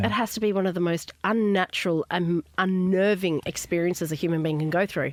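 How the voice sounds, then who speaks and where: Speaking at a fairly quick pace with hardly any pauses, a woman with a fairly low pitch keeps very even loudness and ordinary pitch variation over noticeable background noise. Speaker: radio host. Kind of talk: radio interview. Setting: studio.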